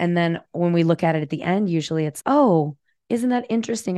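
The voice is an unremarkable speaking voice with lively intonation at a fairly quick pace. The sound is dry and close with no echo, set against a quiet background. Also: woman. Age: 40s. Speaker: psychotherapist. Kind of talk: interview.

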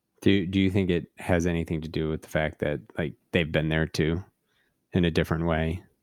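On a very clean recording with a silent background, a man talks in a flat monotone at a very deep, low pitch. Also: fairly quick pace. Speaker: podcast co-host. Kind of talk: casual chat.

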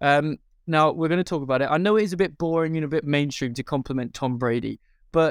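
Talking at a very fast pace, a man with a fairly high pitch shows ordinary pitch variation. The sound is dry and close with no echo, on a very clean recording with a silent background. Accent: British. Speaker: podcast host. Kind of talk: casual chat. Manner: animated.

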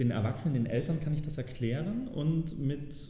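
A man talks amid noticeable background noise, with audible echo from the room. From Saxony, Germany. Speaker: personal finance guest. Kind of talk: interview. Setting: office.

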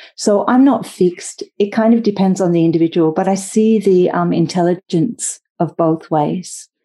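Speaking at a moderate pace with an Australian accent, a woman uses a medium-pitched voice with a dark, mellow tone and ordinary pitch variation. Her loudness stays very even and she hardly pauses. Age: 50s. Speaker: yoga teacher. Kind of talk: interview.

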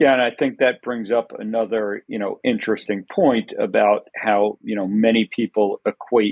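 A man talks in an ordinary speaking voice at medium pitch, keeping a moderate pace and fairly even intonation. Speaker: doctor and podcast host. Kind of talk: casual interview conversation.

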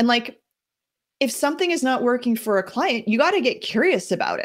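A woman with a high pitch is heard on a very clean recording with a silent background. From New Jersey. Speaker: life coach. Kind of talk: casual interview chat.

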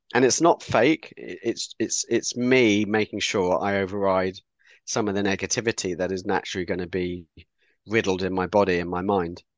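With a southern English accent, a man speaks at a fairly low pitch with ordinary pitch variation, in a dry, close sound with no echo. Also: moderate pace. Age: 50s. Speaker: author and communications specialist with cystic fibrosis. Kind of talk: interview.

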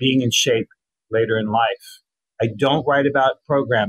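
The voice sounds somewhat breathy, with fairly even intonation. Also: man. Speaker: copywriter and former journalist. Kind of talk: interview.

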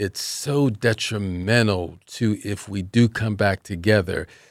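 A man talks in a plain, everyday voice. The recording is very clean, with a silent background. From Philadelphia. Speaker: relationship coach. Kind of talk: radio interview.

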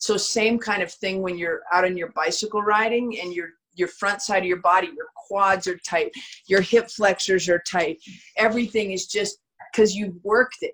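A woman speaks in a plain, everyday voice at medium pitch. Her pace is moderate. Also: fairly even intonation. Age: 50s. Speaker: strength and conditioning coach. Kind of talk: interview answering member questions.

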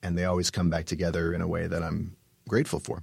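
At a fairly quick pace, a man with a Canadian accent speaks in a very deep, low voice, recorded very cleanly over a silent background. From Canada, Vancouver. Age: 40s. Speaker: musical theater writer and author. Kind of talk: podcast interview.

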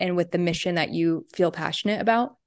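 With an American accent, a woman in a plain, everyday voice speaks at a medium pitch with fairly even intonation. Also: quiet background. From New York State, US. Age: 20s. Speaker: podcast guest co-host. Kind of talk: interview.

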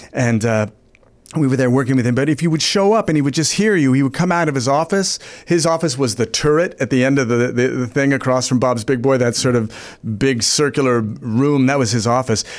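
With an American accent, a man of medium pitch speaks at a fairly quick pace, his pitch varying in an ordinary way and his loudness very even. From Los Angeles, San Fernando Valley. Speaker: actor and improviser. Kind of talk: casual chat. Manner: clipped cadence.

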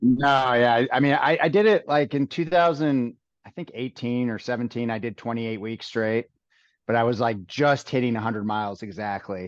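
Medium-pitched man at a moderate pace, ordinary pitch variation, quiet background. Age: 40s. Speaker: fire chief and ultramarathon runner. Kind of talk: interview. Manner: halting, many fillers and restarts.

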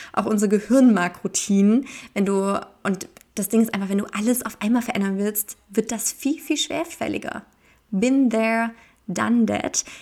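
With a normal speaking voice, a woman talks at a moderate pace and fairly high pitch, using ordinary pitch variation. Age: 20s. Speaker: podcast host. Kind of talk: solo podcast monologue. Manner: casual.

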